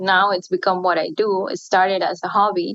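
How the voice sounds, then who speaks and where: A woman with a Spanish accent talks at a fairly slow pace. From Chile. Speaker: baker. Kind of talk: podcast interview.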